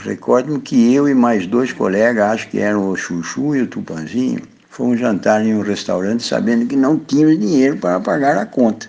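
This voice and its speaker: A man talks in a medium pitch while noticeable noise fills the background. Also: ordinary pitch variation, moderate pace. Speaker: retired agricultural researcher. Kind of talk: recorded anecdote.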